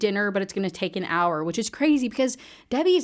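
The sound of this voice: An unforced voice reads with a lively, bouncing melody.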